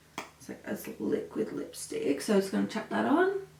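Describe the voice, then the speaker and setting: This woman's voice is fairly high. The room gives it an audible echo. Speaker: makeup artist. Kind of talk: makeup tutorial. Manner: casual, chatty.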